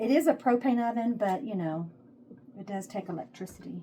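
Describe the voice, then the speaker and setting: A woman with a Texas accent speaks in a relaxed tone with ordinary pitch variation. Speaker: home cooking vlogger. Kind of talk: casual cooking tutorial. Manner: chatty, relaxed.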